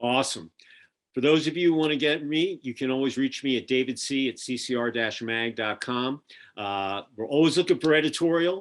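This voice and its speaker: Speaking at a fairly quick pace with a Philadelphia accent, a man uses a medium pitch and ordinary pitch variation on a very clean recording with a silent background. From Philadelphia, US. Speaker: podcast host and magazine publisher. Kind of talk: casual interview chat. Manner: animated.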